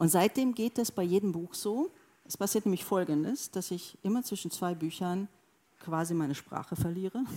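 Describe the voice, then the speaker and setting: Using a dark, mellow tone, a woman speaks at medium pitch and a moderate pace with ordinary pitch variation. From Hungary, Sopron near Austrian border. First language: Hungarian and German (bilingual) (speaking German). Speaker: novelist. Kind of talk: onstage literary conversation. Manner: halting, many hesitations.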